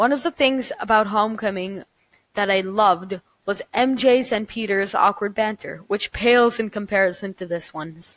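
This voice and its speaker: A woman speaks at a moderate pace with ordinary pitch variation, recorded with a dry, close sound and no echo. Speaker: movie reviewer. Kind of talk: casual movie review to camera. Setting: home recording, poor audio.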